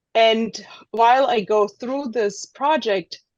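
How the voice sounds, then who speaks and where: The speaker has a German accent and ordinary pitch variation. The background is quiet. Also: woman. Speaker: street photographer. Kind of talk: presentation. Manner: halting.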